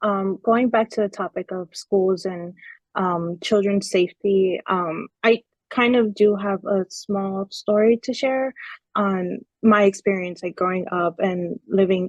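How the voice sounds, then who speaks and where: A woman with a plain, everyday voice speaks at a moderate pace and medium pitch with fairly even intonation, the sound dry and close with no echo. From US, Mexican immigrant parents. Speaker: panelist. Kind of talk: webinar panel discussion.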